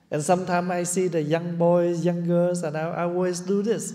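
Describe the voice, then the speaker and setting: A man with a dark, mellow tone and high pitch, at a moderate pace, in audible room echo. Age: 70s. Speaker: Buddhist monk teacher. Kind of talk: dharma talk.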